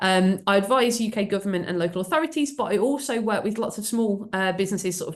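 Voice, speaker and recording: Talking at a very fast pace, a woman uses lively intonation. She speaks with a Birmingham accent. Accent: Birmingham (Brummie). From England, Birmingham. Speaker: AI trainer and speaker. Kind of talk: webinar presentation. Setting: video call webinar. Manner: hesitant, many fillers.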